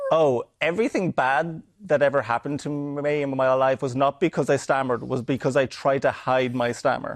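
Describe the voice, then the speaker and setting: In an Irish accent, a man with a fairly high pitch and ordinary pitch variation talks at a moderate pace with hardly any pauses, in a dry, close sound without echo. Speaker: stand-up comedian. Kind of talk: TV interview.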